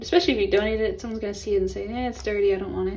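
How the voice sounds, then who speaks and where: Audible room echo surrounds a woman talking with an American accent. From Los Angeles, California. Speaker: lifestyle and art YouTuber. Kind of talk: casual vlog tutorial. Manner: casual, chatty.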